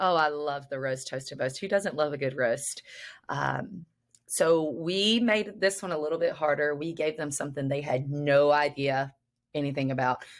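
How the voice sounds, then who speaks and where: Using ordinary pitch variation, a woman with a very deep, low voice talks at a moderate pace. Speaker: instructional technology coach. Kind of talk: casual podcast chat.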